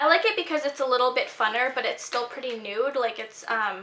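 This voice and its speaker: Over noticeable background noise, a woman talks at a very fast pace in a high pitch with ordinary pitch variation. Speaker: beauty vlogger. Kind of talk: casual product review vlog. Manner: chatty with filler words.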